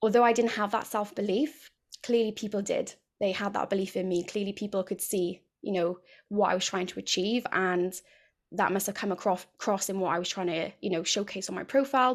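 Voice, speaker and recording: A woman speaks at a fairly quick pace with a Welsh accent, her pitch medium and her intonation fairly even. The recording is very clean, with a silent background. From South Wales, near Cardiff. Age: 30s. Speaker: women's health and fitness coach. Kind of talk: casual interview.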